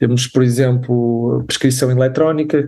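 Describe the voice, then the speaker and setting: A man speaks at a fairly slow pace in a medium pitch, his tone dark and mellow and his intonation monotone and flat. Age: 30s. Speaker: doctor and health tech startup cofounder. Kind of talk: interview. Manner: halting.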